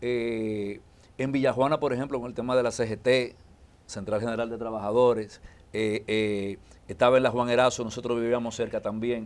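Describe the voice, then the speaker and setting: His pitch is medium and his intonation monotone and flat. The man moves at a moderate pace. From Dominican Republic, Santo Domingo; Dominican Republic. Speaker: politician and lawyer; politician, lawyer. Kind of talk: interview. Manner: halting. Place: studio. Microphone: lapel.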